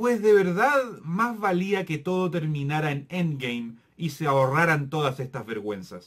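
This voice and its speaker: A man sounds furious, his fairly high voice making very wide pitch swings. He goes at a fairly slow pace against a quiet background. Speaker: film review youtuber. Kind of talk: angry rant, scathing movie review. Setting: home-recorded video, solo to camera. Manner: furious, sarcastic and exasperated, with bursts of disbelief. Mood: critical, exasperated. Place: home room.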